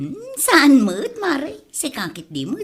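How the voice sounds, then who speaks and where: A female-sounding put-on character voice, high in pitch and very slow. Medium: audio drama. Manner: evasive, jumpy.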